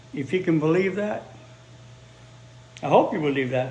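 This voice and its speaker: Audible room echo around a fairly high male voice with ordinary pitch variation. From Chicago, US Midwest. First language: Spanish. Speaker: English teacher. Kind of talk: live-stream language lesson.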